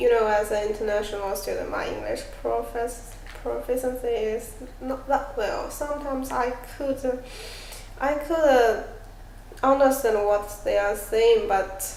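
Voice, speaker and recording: A woman with a high pitch speaks at a fairly slow pace, with ordinary pitch variation and long, frequent pauses. Noticeable background noise and audible room echo are present. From China. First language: Chinese. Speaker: international student. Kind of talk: role-play counselling interview. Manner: halting.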